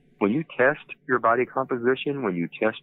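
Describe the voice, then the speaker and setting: At a moderate pace, a man uses a normal speaking voice, his pitch shifting in an ordinary way. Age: 60s. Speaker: health company founder and CEO. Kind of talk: podcast interview. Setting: phone call.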